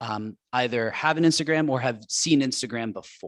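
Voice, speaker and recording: At a moderate pace, a man speaks in a medium pitch with ordinary pitch variation, captured in a very clean recording with a silent background. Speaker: graduate counseling student, presenter. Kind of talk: presentation to a club. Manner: soft-spoken.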